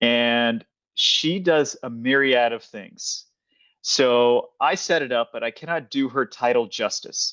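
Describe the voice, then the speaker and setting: A man's normal speaking voice at a medium pitch, with ordinary pitch variation, a dry, close sound with no echo and a quiet background. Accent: American. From Kansas, US. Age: 40s. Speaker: podcast host. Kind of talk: casual interview.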